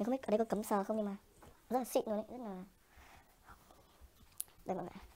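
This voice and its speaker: A dark, mellow tone with fairly even intonation. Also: woman. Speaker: vlogger. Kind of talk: casual vlog chat. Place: shop. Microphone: phone near.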